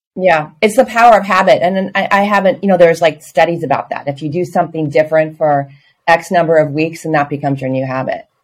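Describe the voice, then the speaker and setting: This woman speaks at a very fast pace. Her pitch is fairly low, with ordinary variation. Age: 60s. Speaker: yoga student. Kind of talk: casual chat.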